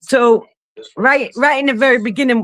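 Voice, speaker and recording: This is a woman speaking. She has a New York accent. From Brooklyn, New York. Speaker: caller on a live stream. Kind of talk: casual chat. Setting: video call.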